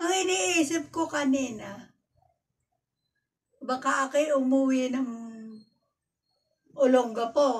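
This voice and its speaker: A high-pitched woman at a fairly slow pace, with ordinary pitch variation and long, frequent pauses. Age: 80s+. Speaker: abandoned elderly villager. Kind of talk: interview answer. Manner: hard of hearing.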